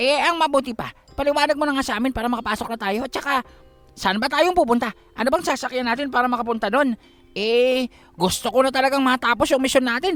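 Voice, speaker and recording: Faint music plays in the background as a man uses a put-on character voice. His pitch is extremely high and his pace very fast. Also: ordinary pitch variation. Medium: read story. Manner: chatty, joking, complaining.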